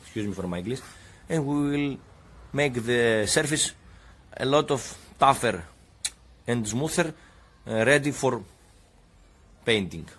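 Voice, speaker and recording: Using lively intonation, a man with a Greek accent speaks at a fairly slow pace. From Greece. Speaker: DIY car repair youtuber. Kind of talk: tutorial. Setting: home garage. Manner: halting.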